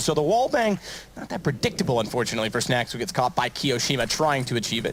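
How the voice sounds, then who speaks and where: Music plays in the background while a man talks. His pace is very fast and his intonation lively. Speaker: esports commentator. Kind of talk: live commentary. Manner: loud.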